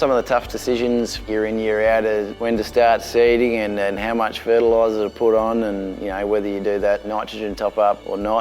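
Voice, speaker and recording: Over noticeable background noise, a man with a fairly low pitch talks at a fairly quick pace in a monotone, flat intonation with hardly any pauses. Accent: Australian. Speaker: farmer. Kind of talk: interview testimony.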